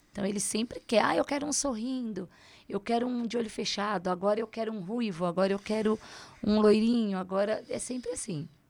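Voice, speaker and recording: In a very clean recording with a silent background, a woman with an ordinary speaking voice talks at a fairly quick pace, pitched fairly high with ordinary pitch variation. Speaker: reborn doll maker and shop owner. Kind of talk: interview.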